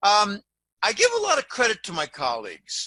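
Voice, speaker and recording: Raised and projected, a man's bright, sharp, high voice comes at a fairly slow pace with a dry, close sound and no echo. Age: 60s. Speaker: financial analyst. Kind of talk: interview. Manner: halting.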